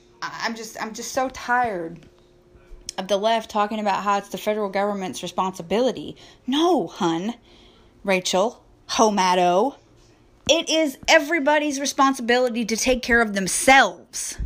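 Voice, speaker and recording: In a very clean recording with a silent background, a woman speaks with an American accent in an ordinary speaking voice. Her fairly high pitch carries lively intonation at a moderate pace. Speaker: podcast host. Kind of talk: angry political rant, solo monologue. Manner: indignant, sarcastic, scornful, blunt; loud, hard-hitting, lecturing the audience.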